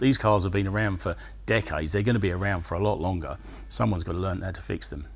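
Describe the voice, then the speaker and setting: A man speaks very fast in a very deep, low voice with vocal fry and ordinary pitch variation. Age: 60s. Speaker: classic car restorer and business owner. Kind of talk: interview.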